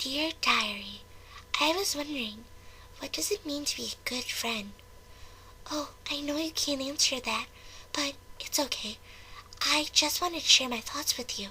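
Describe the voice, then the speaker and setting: A woman speaks in a put-on character voice, pitched high, with long, frequent pauses and clear background noise behind her. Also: moderate pace. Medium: read story. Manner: soft, hesitant, self-doubting.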